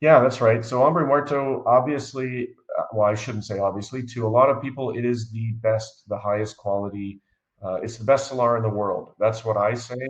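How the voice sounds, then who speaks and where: This man's medium-pitched voice keeps a fairly even intonation. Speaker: mining company CEO. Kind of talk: interview. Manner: fast.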